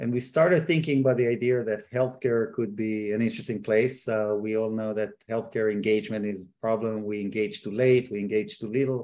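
Fairly quick and with hardly any pauses, a man speaks in a medium pitch with a dark, mellow tone. His intonation stays fairly even while his loudness swings widely. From Israel. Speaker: startup co-founder and president, healthcare company. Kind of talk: casual interview chat.

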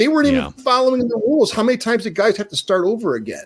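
With music playing in the background, a man talks in an American accent. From Minnesota. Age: 60s. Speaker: basketball broadcaster and former NBA player. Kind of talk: casual chat.

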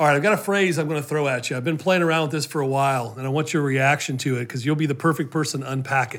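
A man speaks at a very fast pace with hardly any pauses. His pitch is fairly high, with ordinary variation. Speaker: podcast host. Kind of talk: interview conversation.

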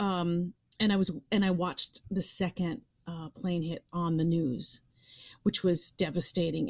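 On a very clean recording with a silent background, a woman with an American accent and an unremarkable speaking voice talks with fairly even intonation at a fairly low pitch. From suburbs of New York City. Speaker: actress and writer. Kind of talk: interview conversation.

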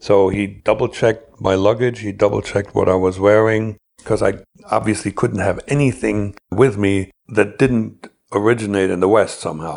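The man speaks at a moderate pace with fairly even intonation. His is an unremarkable speaking voice, pitched fairly low. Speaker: former KGB agent telling his story. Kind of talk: first-person storytelling interview.

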